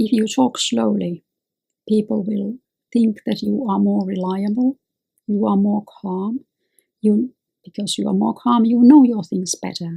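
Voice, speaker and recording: A woman's medium-pitched, somewhat breathy voice with a dark, mellow tone and ordinary pitch variation, fairly slow with long, frequent pauses, in a dry, close sound with no echo. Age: 50s. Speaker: lawyer and self-help video host. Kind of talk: advice monologue. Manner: slow, with pauses.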